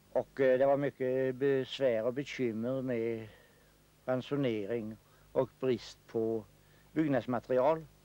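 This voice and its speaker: Speaking at a very slow pace, a man uses fairly even intonation and a dark, mellow tone. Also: medium pitch for a man. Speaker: local history film commentator. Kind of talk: local film commentary, narrating footage of the village. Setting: voice-over on a 1960s film. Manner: unhurried, formal and old-fashioned, with hesitant 'eh' fillers; ad-libbed, describing scenes as they appear, mildly humorous.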